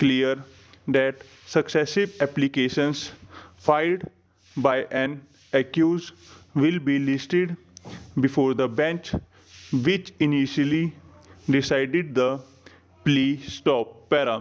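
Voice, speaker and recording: Very slow, with long, frequent pauses, a man at a fairly high pitch keeps his loudness very even and his intonation fairly even. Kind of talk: shorthand dictation read. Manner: slow, even dictation pace.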